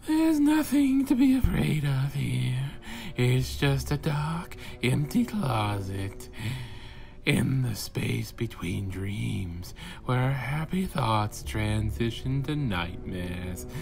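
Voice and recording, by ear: A man puts on a character voice. He speaks at a very slow pace over clear background noise.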